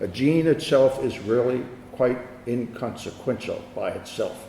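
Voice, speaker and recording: Through noticeable background noise, a man talks in an American accent with ordinary pitch variation. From Philadelphia, USA. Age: 80s+. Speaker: physician and professor of medicine. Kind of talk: academic lecture.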